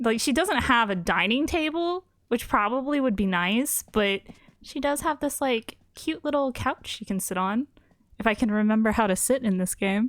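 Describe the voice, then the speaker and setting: A woman with a normal speaking voice, fairly high pitch and lively intonation at a moderate pace, on a very clean recording with a silent background. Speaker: video game performer showcasing her designs. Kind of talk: casual chat.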